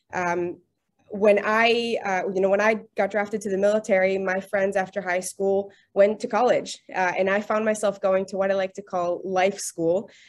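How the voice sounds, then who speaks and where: A woman with an American accent and medium pitch, at a moderate pace in a monotone, flat intonation. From US Midwest, Michigan. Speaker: legal tech executive. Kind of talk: webinar presentation. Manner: halting, many repetitions.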